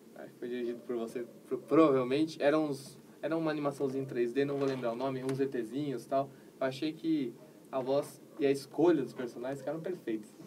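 A man talks at a fairly quick pace in a plain, everyday voice. His pitch is fairly high and his intonation fairly even. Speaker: geek channel host. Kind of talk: interview. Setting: livestream.

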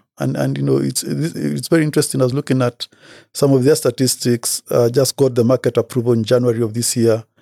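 The speech comes very fast in a dark, mellow tone, with a dry, close sound and no echo. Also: man. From Kenya. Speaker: health tech investor and biomedical scientist. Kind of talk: interview. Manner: halting, many fillers and repetitions.

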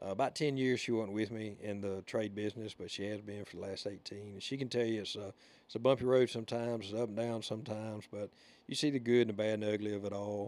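A fairly low-pitched man with a Southern US accent, very fast, with fairly even intonation. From Alabama. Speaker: podcast host. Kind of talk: casual chat. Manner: rambling, casual.

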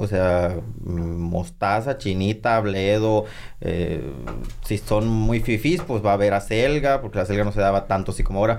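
A man's fairly low voice at a moderate pace, an ordinary speaking voice with ordinary pitch variation and very even loudness. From Sonora, Mexico (San Pedro de la Cueva). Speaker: chef and TV cook. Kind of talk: casual chat.

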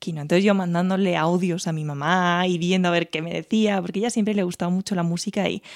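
A woman at a very fast pace with fairly even intonation, dry and close with no echo, on a very clean recording with a silent background. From Spain, Teruel. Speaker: music teacher and singer. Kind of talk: casual interview.

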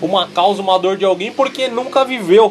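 The speaker has an animated tone. Noticeable background noise runs underneath. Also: man. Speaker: podcast host. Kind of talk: angry rant about people whining on social media, profane and sarcastic. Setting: live Facebook broadcast. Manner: loud, fired-up, exasperated, slangy; animated, comedic, high-energy.

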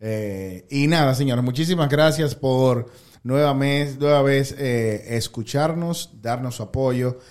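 A man at a medium pitch and a very slow pace. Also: ordinary pitch variation. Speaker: podcast host. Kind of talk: casual chat. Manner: low-key, calm-sounding.

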